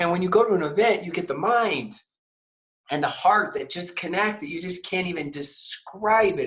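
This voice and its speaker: A man with an American accent speaks at a moderate pace in a high pitch. His loudness swings widely, while his pitch varies in an ordinary way. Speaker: network marketing trainer. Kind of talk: interview. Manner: soft-spoken; calm.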